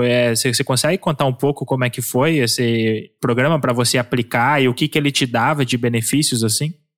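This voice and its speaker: On a very clean recording with a silent background, a man speaks at a fairly quick pace in a plain, everyday voice, medium in pitch with ordinary pitch variation. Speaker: podcast co-host. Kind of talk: interview.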